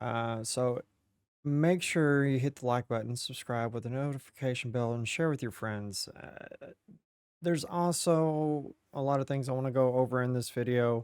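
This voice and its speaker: The sound is dry and close, with no echo. A man speaks at a medium pitch with ordinary pitch variation. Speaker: gaming YouTuber. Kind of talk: casual video commentary. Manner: slow; halting.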